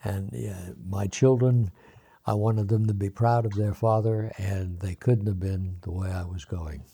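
A man talks in a dark, mellow tone that is somewhat breathy. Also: fairly low pitch for a man, ordinary pitch variation. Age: 80s+. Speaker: recovery guest sharing story. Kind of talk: casual interview. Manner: halting.

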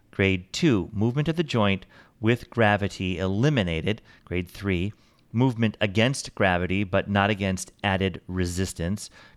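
Pitched fairly low, a man with an unremarkable speaking voice talks at a moderate pace with ordinary pitch variation on a very clean recording with a silent background. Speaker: podcast host. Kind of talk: podcast intro and interview.

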